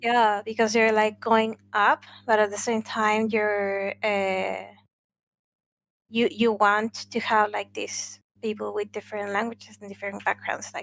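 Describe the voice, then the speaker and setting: A woman with a Spanish accent speaks in a fairly high, monotone voice at a fairly slow pace, her loudness swinging widely. The recording is very clean, with a silent background. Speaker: gaming podcast co-host. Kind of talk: casual chat. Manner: halting, many fillers.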